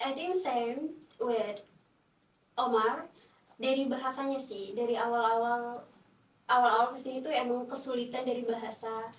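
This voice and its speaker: In a room with audible echo, a woman speaks at a moderate pace with a high pitch and fairly even intonation. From Timor-Leste. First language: not Indonesian (speaking Indonesian). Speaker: international student. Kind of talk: podcast interview. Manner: hesitant, many fillers.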